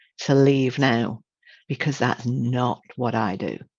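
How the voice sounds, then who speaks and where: A woman speaks with a British accent at a very slow pace. The background is quiet. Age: 60s. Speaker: image consultant and trainer. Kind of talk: webinar presentation. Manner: animated.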